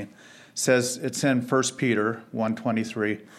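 Talking at a fairly slow pace, a man with a plain, everyday voice keeps his intonation fairly even. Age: 60s. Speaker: church member giving testimony. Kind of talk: testimony.

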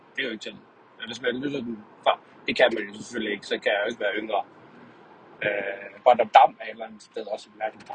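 Over noticeable background noise, a man talks at a very fast pace, broken by long, frequent pauses, with big swings in loudness. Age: 30s. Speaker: podcaster. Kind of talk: monologue. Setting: in a car. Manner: halting. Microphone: poor sound quality.

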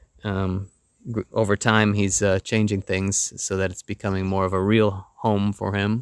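Speaking with an American accent, a man keeps a moderate pace and a monotone, flat intonation. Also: fairly low pitch for a man. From United States. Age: middle-aged. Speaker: podcast host. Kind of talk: casual chat. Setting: outdoors on a terrace. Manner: halting, many fillers.

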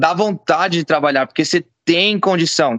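With a bright, sharp tone and ordinary pitch variation, a man talks at a moderate pace in a dry, close sound with no echo. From São Paulo state, Brazil. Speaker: jiu-jitsu gym owner. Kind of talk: casual chat.

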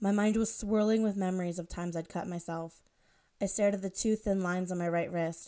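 The clip is a natural reading voice with fairly even intonation.

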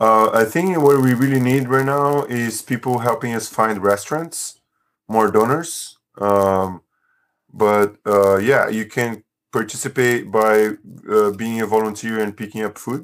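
In a very clean recording with a silent background, a man with a non-native accent speaks at a fairly slow pace in a medium voice with ordinary pitch variation. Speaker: economics teacher and food-sharing organizer. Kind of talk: interview.

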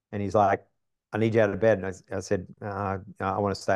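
A man with an Australian accent talks at a very fast pace in a monotone, flat intonation, over a quiet background. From Australia, east coast industrial city. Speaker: business coach. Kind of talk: casual interview. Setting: studio.

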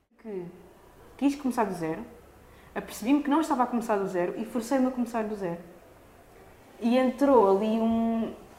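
A woman with a dark, mellow tone speaks at a fairly high pitch and fairly quick pace, with ordinary pitch variation and long, frequent pauses. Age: 20s. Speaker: dancer and performer. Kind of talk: casual chat. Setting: studio. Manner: halting.

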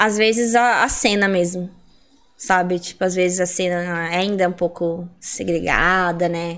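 Speaking in a normal speaking voice, a woman talks at a fairly slow pace with fairly even intonation and a fairly low pitch. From Curitiba metro area, southern Brazil. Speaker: breakdancer. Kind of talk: casual chat.

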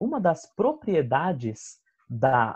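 Against a quiet background, a man is speaking. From Brazil, São Bernardo do Campo (São Paulo ABC region). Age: 20s. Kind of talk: interview. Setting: video call.

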